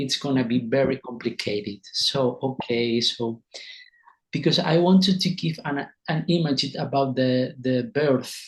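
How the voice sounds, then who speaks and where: Somewhat breathy, a man at medium pitch talks at a fairly slow pace with ordinary pitch variation. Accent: Canarian. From Canary Islands, Spain. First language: Spanish. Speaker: dancer and choreographer. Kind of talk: interview. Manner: halting, many repetitions.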